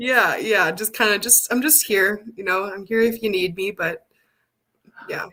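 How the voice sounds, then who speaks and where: Medium-pitched female voice in a Canadian accent, fairly slow, with ordinary pitch variation. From Northern Alberta, Canada. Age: young. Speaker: community support worker. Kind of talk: interview. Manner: halting.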